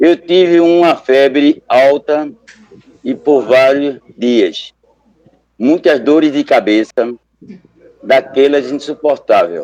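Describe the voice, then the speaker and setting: At a very slow pace, a man talks in a fairly high pitch. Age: 60s. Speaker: Buddhist lay member, local group leader. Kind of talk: testimony.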